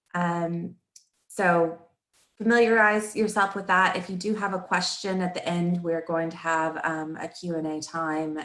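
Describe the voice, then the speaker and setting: With a slight Texan accent, a woman speaks at a fairly slow pace. Her pitch is fairly low, with ordinary pitch variation. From Texas. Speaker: marketing coach and webinar presenter. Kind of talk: webinar presentation.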